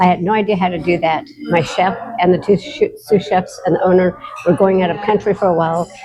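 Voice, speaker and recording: Over noticeable background noise, a woman with an American accent speaks at a fairly quick pace and medium pitch with ordinary pitch variation. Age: 60s. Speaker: recovery community member. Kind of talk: interview. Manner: casual, hesitant with fillers.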